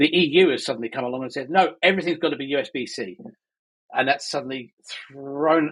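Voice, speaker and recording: A man speaks in a plain, everyday voice at a fairly quick pace. His pitch is fairly high, with ordinary variation. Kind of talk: casual chat. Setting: living in Spain.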